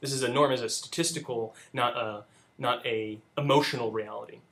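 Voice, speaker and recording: The speaker is male. His voice sits at a medium pitch. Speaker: debate coach. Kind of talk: spoken critique of student debate. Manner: halting, many fillers.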